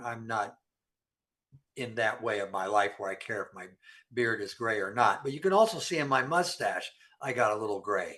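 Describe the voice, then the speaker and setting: A man speaks with a bright, sharp tone and lively intonation. The background is quiet. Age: 70s. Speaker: nutrition and health speaker. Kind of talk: health Q&A discussion.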